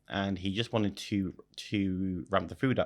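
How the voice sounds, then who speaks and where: This is a man with an Irish accent and a fairly low pitch. He talks at a moderate pace on a very clean recording with a silent background. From Ireland, Wexford/Wicklow area. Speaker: restaurateur. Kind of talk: interview. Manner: halting.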